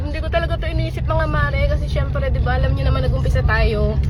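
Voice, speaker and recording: This woman speaks at a very fast pace in a Batangas accent, with a very deep, low pitch and fairly even intonation. Audible room echo surrounds her, and crowd noise sounds in the background. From Philippines, Batangas. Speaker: vlogger and small business owner. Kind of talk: casual vlog talk to viewers. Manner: fast, rapid-fire chatter.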